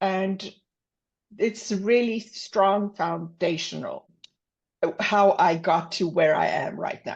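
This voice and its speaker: A woman with a South African accent speaks at a very slow pace. Her pitch is medium, with ordinary variation. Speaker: business consultant and executive coach. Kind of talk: podcast interview. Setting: podcast.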